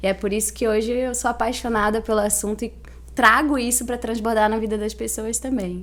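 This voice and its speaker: A woman speaks with a Santa Catarina accent at a fairly quick pace. Her fairly high pitch stays monotone and flat. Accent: Itajaí accent, noticeable. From Santa Catarina, Brazil (Itajaí). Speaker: financial education consultant. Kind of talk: podcast interview.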